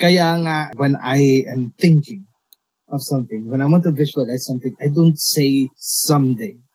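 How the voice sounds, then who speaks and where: With lively intonation, a man speaks fairly slowly in a somewhat breathy voice at a fairly high pitch. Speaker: podcast host. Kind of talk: casual chat.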